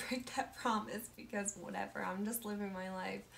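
A woman talks in a monotone, flat way at a fairly high pitch, with noticeable background noise present. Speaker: musician and mental health video maker. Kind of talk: casual talk to camera. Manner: slow.

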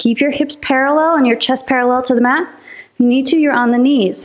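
Over a quiet background, a woman with a high pitch talks at a moderate pace. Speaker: fitness instructor. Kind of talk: workout class instruction. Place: empty room.

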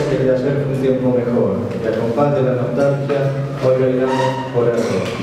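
A man talks at a moderate pace amid noticeable background noise and strong room echo. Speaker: panelist. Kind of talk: lecture. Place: classroom.

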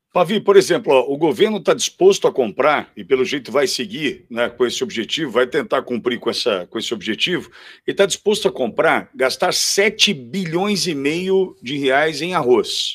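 Here a man speaks at a moderate pace with lively intonation and hardly any pauses. The background is quiet. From Brazil. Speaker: co-commentator. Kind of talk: political commentary.

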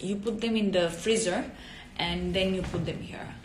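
A woman with an Italian accent, amid light background noise and audible room echo. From southern Italy. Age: 20s. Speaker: actress and model; actress. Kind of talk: casual chat. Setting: Instagram live video. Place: home room. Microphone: phone near.

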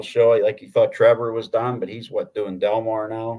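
With an American accent, a man talks at a medium tempo. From Pittsburgh, Pennsylvania. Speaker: horse racing handicapper. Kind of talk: casual chat.

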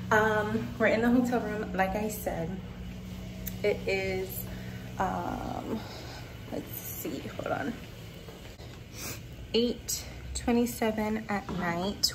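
A woman speaks very slowly, pausing long and often, as noticeable background noise carries on. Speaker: travel vlogger. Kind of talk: casual vlog chat. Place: home room. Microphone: phone near.

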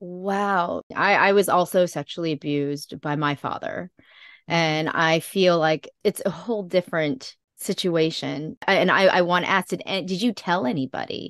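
A woman's fairly low-pitched, an ordinary speaking voice at a moderate pace, with ordinary pitch variation, a dry, close sound with no echo and a quiet background. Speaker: podcast host. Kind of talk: interview.

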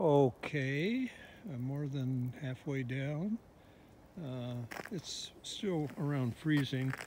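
A man speaks in a dry recording with no echo, over noticeable background noise. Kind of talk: casual vlog chat. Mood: playful, wry humor. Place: open country. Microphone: phone near.

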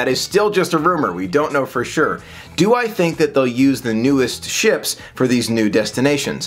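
A man's fairly bright voice at a medium pitch, fairly quick, with lively intonation.

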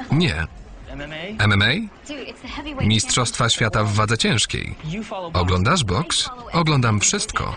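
Over music in the background, a man at medium pitch speaks with very wide pitch swings. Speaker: film voice-over reader. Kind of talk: film voice-over translation read.

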